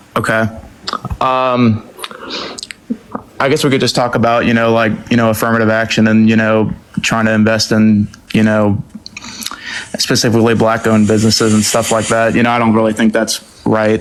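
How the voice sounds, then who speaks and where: Speaking fairly quickly with an American accent, a man at a medium pitch keeps a monotone, flat intonation and very even loudness, leaving long, frequent pauses amid noticeable background noise. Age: 20s. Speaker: caller. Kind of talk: casual chat.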